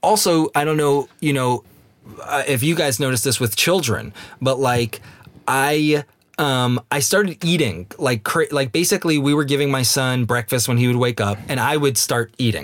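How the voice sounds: The man talks at a moderate pace, his pitch medium and its variation ordinary.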